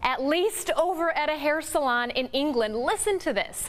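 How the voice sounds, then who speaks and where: A woman is speaking. Her pace is moderate. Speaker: television news anchor. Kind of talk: TV news anchor reel. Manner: upbeat, bubbly, playful.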